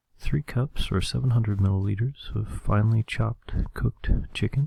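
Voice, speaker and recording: Soft-spoken and calm, a man talks in a relaxed tone at a fairly slow pace, in a dry, close sound with no echo. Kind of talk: ASMR recipe reading. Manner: calm, relaxed.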